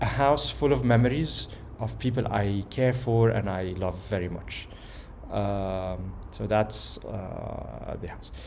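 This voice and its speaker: A man speaks very slowly amid noticeable background noise and audible room echo. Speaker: personal vlogger. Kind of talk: personal video message. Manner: calm, somewhat slow; hesitant, many fillers.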